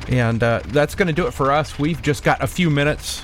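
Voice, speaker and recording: A man talks in a playful tone with lively intonation and a fairly high pitch. His pace is moderate, and there is noticeable background noise. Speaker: radio host. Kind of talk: radio show hosting over a video call, casual chat. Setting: home studio, video call. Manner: easygoing, chatty, playful.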